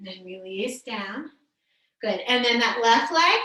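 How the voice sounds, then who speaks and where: A woman speaks at a fairly slow pace in a calm tone. Room echo is audible around her. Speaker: yoga instructor. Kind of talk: guided yoga class. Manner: calm, instructive.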